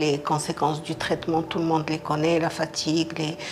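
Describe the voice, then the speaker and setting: A woman's fairly low voice with music in the background. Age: 60s. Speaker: breast cancer patient. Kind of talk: personal testimony.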